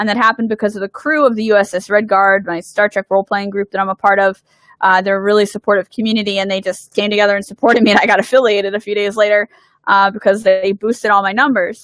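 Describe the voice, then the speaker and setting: A woman talks at a very fast pace in a Philadelphia accent. Her pitch sits in the medium range. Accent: Philadelphia American. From US Northeast, Philadelphia. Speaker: game designer. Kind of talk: livestream Q&A. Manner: animated.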